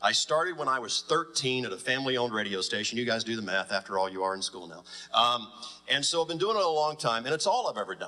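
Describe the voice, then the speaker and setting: A man with an American accent talks at a very fast pace in a medium-pitched voice. His intonation is lively, and there is noticeable background noise. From US South. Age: 40s. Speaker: radio executive. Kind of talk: panel talk.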